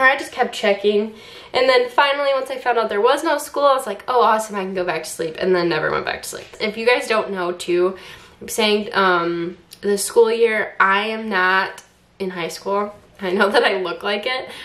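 A woman talks at a moderate pace. Her pitch moves in an ordinary way. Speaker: substitute teacher vlogger. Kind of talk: casual vlog chat. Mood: excited, relaxed. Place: kitchen.

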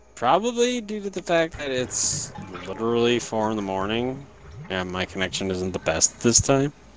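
A man's voice at a medium pitch and moderate pace, with very wide pitch swings over noticeable background noise. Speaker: gaming streamer. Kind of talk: casual chat.

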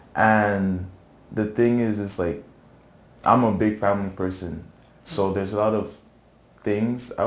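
Against audible room echo, a man with a fairly low pitch talks at a moderate pace and with fairly even intonation. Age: 20s. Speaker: church youth praise team drummer. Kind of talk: testimony; casual interview. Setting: studio. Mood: relaxed, reflective. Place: studio.

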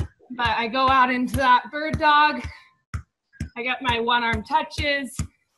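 Amid noticeable background noise, a woman with an American accent speaks in a high pitch at a very slow pace. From Santa Barbara, California. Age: 20s. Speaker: pro beach volleyball player. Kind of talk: tutorial. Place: garden. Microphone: video call.

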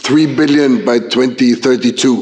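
Over noticeable background noise and audible room echo, a man talks at a fairly high pitch. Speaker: EU agency official. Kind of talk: conference speech. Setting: conference panel. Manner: formal.

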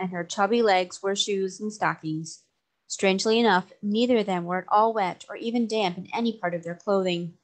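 A quiet background behind reading aloud in a natural voice

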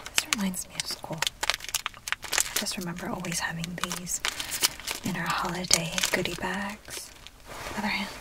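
Whispering, a woman moves at a fairly slow pace. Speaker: ASMR roleplay host. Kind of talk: ASMR roleplay, friendly chat. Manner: soft-spoken, whispered. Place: car.

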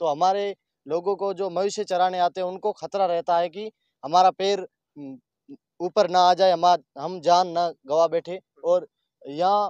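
A man's high-pitched voice, clear and smooth in tone and slightly mellow, at a fairly slow pace with fairly even intonation and a dry, close sound with no echo.

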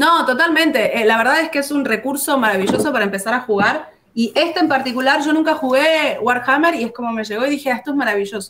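A woman with a high pitch talks at a very fast pace with hardly any pauses. Her pitch varies in an ordinary way over light background noise. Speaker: board game company presenter; presenter. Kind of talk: casual chat. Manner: animated. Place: home room.

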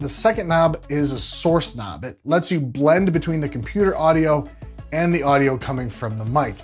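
Faint music plays in the background as a man talks. He keeps a moderate pace with ordinary pitch variation. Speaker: tech reviewer. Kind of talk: product review talk to camera. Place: studio. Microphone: lapel.

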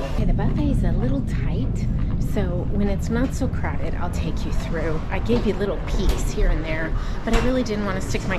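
Music can be heard behind the speaker. She is a woman talking at a fairly quick pace. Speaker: travel vlogger. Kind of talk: casual vlog chat. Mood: cheerful, excited. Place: cafe. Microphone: phone near.

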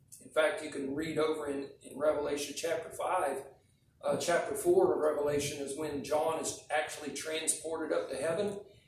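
Audible room echo and light background noise surround a man talking at a fairly quick pace in a monotone, flat delivery. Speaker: preacher. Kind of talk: sermon. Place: church. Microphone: podium.

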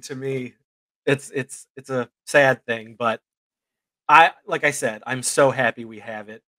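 A medium-pitched man speaks at a fairly slow pace with fairly even intonation and big swings in loudness. His tone is bright and sharp, in a dry sound with no echo and a quiet background. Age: 40s. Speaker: indie film writer and director; guest. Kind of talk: casual chat. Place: home room.

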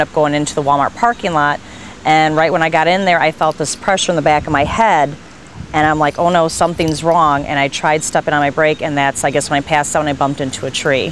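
A woman talks at a very fast pace with a very deep, low pitch and fairly even intonation. The sound is dry with no echo, over light background noise. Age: 40s. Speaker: patient. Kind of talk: testimony. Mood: relaxed, upbeat recounting. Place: street. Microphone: lapel.

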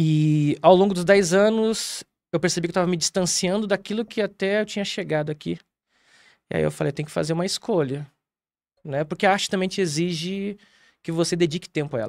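A man with a high pitch speaks at a fairly quick pace but takes long, frequent pauses, in a dry sound with no echo against a quiet background. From Rio Grande do Sul, Brazil. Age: 40s. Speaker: theatre director; guest. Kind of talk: interview. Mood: calm, reflective. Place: studio. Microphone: studio mic.

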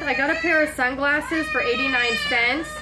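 A woman with a high pitch speaks at a moderate pace in a raised, projected voice, with ordinary pitch variation and loud background noise behind her. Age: 30s. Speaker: lifestyle vlogger doing shopping hauls. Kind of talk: casual haul video talking to camera. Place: kitchen. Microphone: phone near.

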